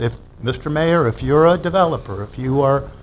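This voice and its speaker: There is audible room echo around a man's voice. He speaks at a moderate pace in a fairly high pitch. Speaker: public commenter at city meeting. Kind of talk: public comment at council meeting. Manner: loud; animated.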